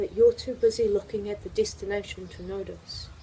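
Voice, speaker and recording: A woman is speaking. She goes at a moderate pace. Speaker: spoken word poet. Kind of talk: poetry reading.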